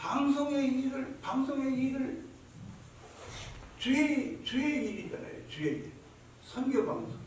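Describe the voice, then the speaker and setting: Over noticeable background noise and audible room echo, a man speaks at an extremely high pitch with fairly even intonation, very slowly and with long, frequent pauses. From Chungcheong, South Korea. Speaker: pastor. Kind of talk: sermon. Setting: church service. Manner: repetitive.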